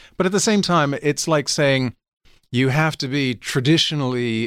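A man with an American accent and a normal speaking voice talks at a moderate pace and medium pitch in a very clean recording with a silent background. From New York City, Manhattan. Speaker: audiobook narrator and actor. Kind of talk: casual interview. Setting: studio.

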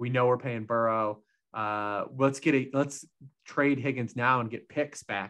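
An unremarkable speaking voice from a man, medium in pitch, fairly slow and fairly even in intonation, over a quiet background. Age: 40s. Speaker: football betting analyst. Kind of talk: casual chat.

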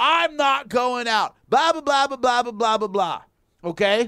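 A man uses a raised, projected voice at an extremely high pitch. His tone is bright and sharp, and his intonation is lively. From rural area. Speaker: MMA radio host. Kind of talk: casual chat. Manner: animated.

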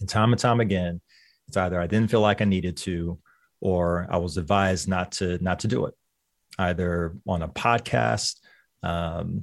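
A man's very deep, low voice with an American accent at a fairly slow pace, in a very clean recording with a silent background. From Lynchburg, Virginia. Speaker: physician. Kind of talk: radio interview, informative. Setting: office, interviewed on radio.

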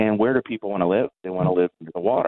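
In an ordinary speaking voice, a man talks at a fairly low pitch, his pitch varying in an ordinary way. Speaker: geography professor. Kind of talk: interview.

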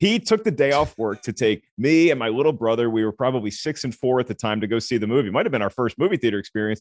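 The speaker's intonation is lively, and the background stays quiet. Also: man, dry, close sound with no echo. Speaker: film critic and comedian. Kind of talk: casual interview.

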